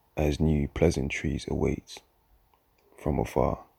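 A man at a very slow pace, with a very deep, low pitch and vocal fry, in a dry, close sound with no echo. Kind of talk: spoken-word poem performance. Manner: introspective, measured, lyrical cadence.

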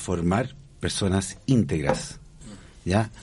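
The background is quiet. A man speaks with vocal fry. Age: 40s. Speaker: school director and teacher. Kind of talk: radio interview. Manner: halting.

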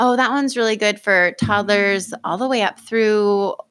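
A woman with a plain, everyday voice and an American accent speaks at a fairly slow pace and a medium pitch. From US Pacific Northwest, Oregon (Lane County). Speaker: certified nurse midwife, birth center director. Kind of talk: casual interview. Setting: podcast studio.

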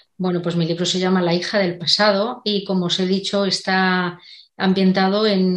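Against a quiet background, a woman with a Castilian accent speaks at a moderate pace, her medium pitch held in a monotone, flat intonation. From Spain, Segovia. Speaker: novelist. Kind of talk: interview.

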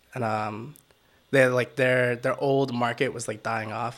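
This man talks at a moderate pace in a Washington DC accent. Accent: Washington DC area American. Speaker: photographer and videographer. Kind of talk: casual chat. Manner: soft-spoken, mellow.

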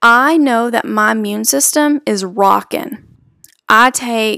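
A woman's voice, dry and close, with no echo. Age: 20s. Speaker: podcast host. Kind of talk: opinion monologue. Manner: animated.

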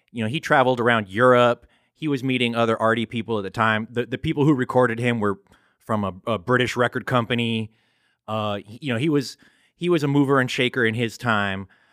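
A man with a normal speaking voice talks at a fairly quick pace and a medium pitch, with fairly even intonation. The sound is dry and close with no echo, in a very clean recording with a silent background. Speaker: podcast host. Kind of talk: casual chat.

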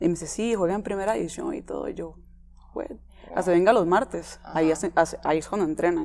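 A woman with a Costa Rican accent talks at a fairly quick pace, with long, frequent pauses. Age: 20s. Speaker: footballer. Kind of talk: interview.

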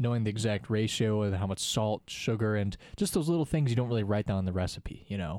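Playful and very fast, a man speaks with hardly any pauses in a fairly low, dark and mellow voice. His pitch variation is ordinary, and the recording is very clean with a silent background. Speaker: student teacher and podcast co-host. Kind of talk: casual chat. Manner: joking, playful.

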